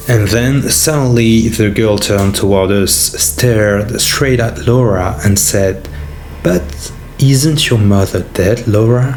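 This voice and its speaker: A man with a French accent speaks very slowly and with lively intonation at a very even loudness, with audible room echo and noticeable background noise. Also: fairly low pitch for a man. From France. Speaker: YouTuber, horror storyteller. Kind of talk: reading aloud subscriber stories.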